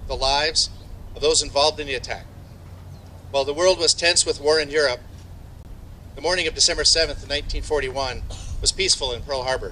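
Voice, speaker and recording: A man talks at a fairly quick pace over light background noise. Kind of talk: ceremonial speech. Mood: solemn, respectful. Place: open country. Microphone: podium.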